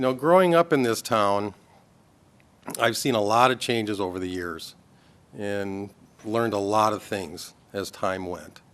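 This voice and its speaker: This man speaks with an Upper Midwest accent and lively intonation. His pace is fairly slow, with long, frequent pauses. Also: fairly low pitch for a man. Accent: Upper Midwest American. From Minnesota, US (Anoka). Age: 50s. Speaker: political candidate. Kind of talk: candidate forum statement.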